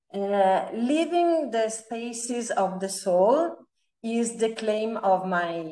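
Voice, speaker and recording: A woman with an Italian accent speaks at a very slow pace over music in the background. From Italy. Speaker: feng shui architect. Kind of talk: interview. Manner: halting, many fillers.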